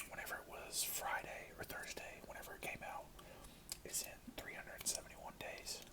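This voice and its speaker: Whispering in a relaxed tone, a man is heard over noticeable background noise. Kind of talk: ASMR movie review, casual talk. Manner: soft-spoken, relaxed.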